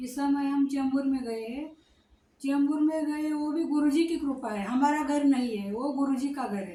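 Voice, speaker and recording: A woman speaks with a high pitch and a dark, mellow tone. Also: ordinary pitch variation. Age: 60s. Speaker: devotee. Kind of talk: testimony. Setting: ashram. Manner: halting.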